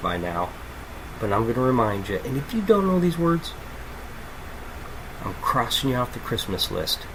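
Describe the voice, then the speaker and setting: Loud and animated, a man talks at a moderate pace with very wide pitch swings and long, frequent pauses, amid noticeable background noise and audible room echo. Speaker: podcast host, music reviewer. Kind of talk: casual album review monologue.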